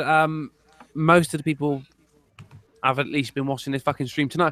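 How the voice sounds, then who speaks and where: The recording sounds dry and close, without any echo. The voice carries a British accent. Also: man. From UK. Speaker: YouTuber. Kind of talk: casual chat. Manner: halting.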